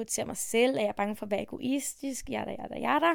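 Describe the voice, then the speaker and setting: This woman has an unremarkable speaking voice with a fairly high pitch and ordinary pitch variation. She talks at a moderate pace. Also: very clean recording, silent background. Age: 20s. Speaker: podcast host and self-esteem coach. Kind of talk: casual monologue.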